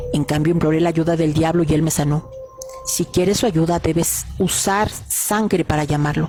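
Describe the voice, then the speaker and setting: A woman speaks at a fairly low pitch and a moderate pace with fairly even intonation. Music plays in the background. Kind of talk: horror story narration.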